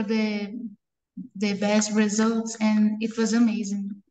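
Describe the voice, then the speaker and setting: A somewhat breathy woman at fairly high pitch, her tone dark and mellow. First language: not English. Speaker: competition winner presenting research. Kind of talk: panel discussion.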